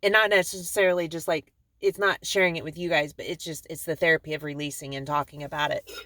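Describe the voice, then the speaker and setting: Loud and very fast, a woman delivers her words in a bright, sharp tone. Her intonation stays fairly even. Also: dry, close sound with no echo. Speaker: vlogger. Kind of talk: personal video diary. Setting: parked car in driveway. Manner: hesitant, many fillers.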